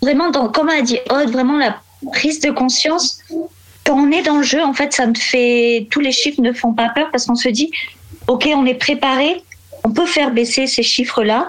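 Over noticeable background noise, a woman talks with a high pitch and ordinary pitch variation. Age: 20s. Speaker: warehouse logistics worker. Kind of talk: casual interview.

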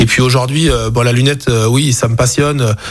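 With music playing in the background, a man speaks at a medium pitch in a monotone, flat delivery. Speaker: optician and business owner. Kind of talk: radio interview. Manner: hesitant, many fillers.

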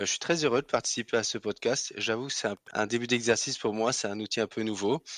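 Very fast and with hardly any pauses, a man of medium pitch keeps a fairly even intonation, the sound dry and close with no echo on a very clean recording with a silent background. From Alsace, France. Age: 30s. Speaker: finance sales professional. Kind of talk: interview. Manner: hesitant, with fillers.

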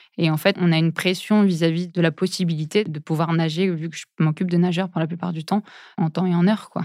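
A woman talks at a fairly quick pace and fairly low pitch. Her intonation is flat and monotone, and the recording is very clean with a silent background. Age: 30s. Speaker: physiotherapist. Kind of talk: interview. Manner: hesitant, filler words.

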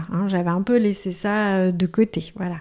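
On a very clean recording with a silent background, a woman with an ordinary speaking voice talks fairly slowly at a medium pitch. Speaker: cancer patient. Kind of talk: testimony.

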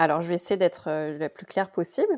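This woman's voice is fairly low, with a dark, mellow tone. Her pitch varies in an ordinary way, and the sound is dry and close with no echo. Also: very clean recording, silent background. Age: 30s. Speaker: pharmacist and naturopathy student. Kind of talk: casual interview.

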